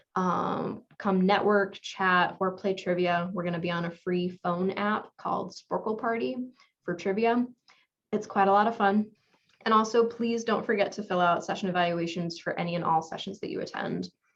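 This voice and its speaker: Speaking at a moderate pace with fairly even intonation, a woman has a medium pitch and an unremarkable speaking voice. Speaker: conference presenter. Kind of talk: conference Q&A and announcements.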